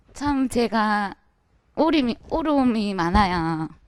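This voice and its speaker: The voice moves very slowly, with lively intonation. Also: woman. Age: 30s. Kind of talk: audience question at a dharma talk.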